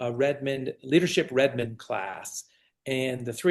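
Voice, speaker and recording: An enthusiastic tone from a man at medium pitch. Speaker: county commissioner running for re-election. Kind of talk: casual podcast interview.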